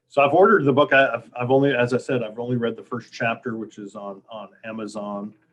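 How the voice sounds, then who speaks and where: Talking at a very fast pace, a man makes big swings in loudness. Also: medium pitch for a man, ordinary pitch variation, hardly any pauses. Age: 60s. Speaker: sports media association director, interviewer. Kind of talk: casual interview.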